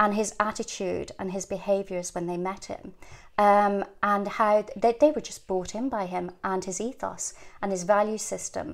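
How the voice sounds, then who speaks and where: Moderate-paced speech from a woman with an Irish accent, medium in pitch and fairly even in intonation, on a very clean recording with a silent background. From rural Ireland. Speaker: leadership coach and charity CEO. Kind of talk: interview conversation.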